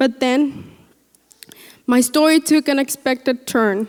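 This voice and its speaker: Fairly slow in pace, a woman speaks at a high pitch with ordinary pitch variation. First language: Spanish. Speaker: graduating student speaker. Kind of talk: commencement speech. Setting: graduation ceremony with audience.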